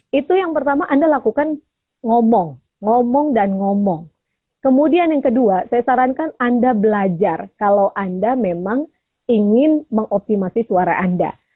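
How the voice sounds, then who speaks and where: Loud and energetic, a woman with a fairly high voice speaks at a fairly slow pace, her pitch swinging very widely. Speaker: voice coach. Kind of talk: radio talk show interview. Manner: loud, energetic.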